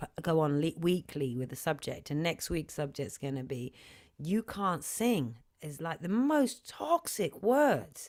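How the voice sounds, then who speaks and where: This woman has a very deep, low voice with a slight British accent and lively intonation. She talks at a moderate pace on a very clean recording with a silent background. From UK. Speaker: singer and sound healer. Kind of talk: interview on livestream.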